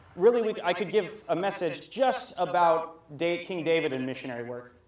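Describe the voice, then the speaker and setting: A man with an American accent speaks at a moderate pace in a high voice. Audible room echo and noticeable background noise fill the recording. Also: lively intonation. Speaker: missionary English teacher, speaker. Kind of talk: sermon with consecutive interpretation.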